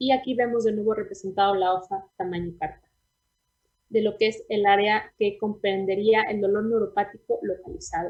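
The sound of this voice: Speaking at a fairly quick pace, a woman has a medium-pitched voice with a slightly husky edge. Her intonation stays fairly even.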